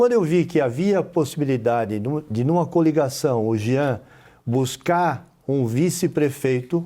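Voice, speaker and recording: With lively intonation and a fairly high pitch, a man speaks in a dark, mellow tone on a very clean recording with a silent background. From Brazil, Florianópolis (Santa Catarina). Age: 60s. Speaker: mayor. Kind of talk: TV interview.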